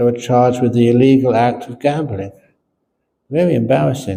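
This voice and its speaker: His voice has a dark, mellow tone and is somewhat breathy. The man speaks at a medium pitch with ordinary pitch variation. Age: 70s. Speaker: Buddhist monk and teacher. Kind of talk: dharma talk with jokes. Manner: casual storytelling.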